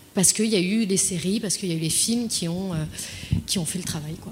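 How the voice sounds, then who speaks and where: She speaks in a mid-range pitch. The rise and fall of her voice is ordinary. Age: 20s. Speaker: client solutions manager. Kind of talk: panel discussion. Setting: dinner debate with audience. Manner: halting.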